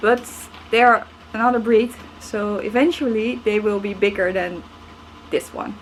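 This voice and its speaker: A woman with a non-native accent at a fairly high pitch and moderate pace, with ordinary pitch variation, long, frequent pauses and noticeable background noise. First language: not English. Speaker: snail keeper. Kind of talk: casual talk to camera.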